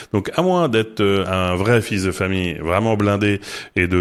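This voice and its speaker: This man speaks at a fairly low pitch. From Paris, France. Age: 40s. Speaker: marketing executive. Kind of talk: podcast interview. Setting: studio. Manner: halting, many repetitions and fillers.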